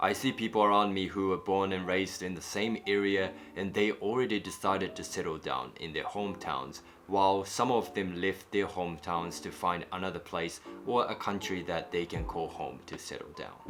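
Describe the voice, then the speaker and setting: A man's very deep, low voice with ordinary pitch variation at a moderate pace, music playing in the background. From Japan. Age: 20s. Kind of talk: personal reflective vlog narration.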